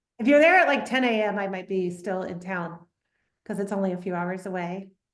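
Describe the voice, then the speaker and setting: A woman with an American accent talks at a fairly quick pace, with audible room echo. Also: medium pitch for a woman, ordinary pitch variation. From US South, Atlanta, Georgia. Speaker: winemaker. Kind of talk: casual chat. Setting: video call.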